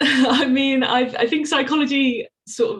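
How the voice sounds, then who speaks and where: A somewhat breathy woman's voice with an English accent. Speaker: PhD researcher. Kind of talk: interview.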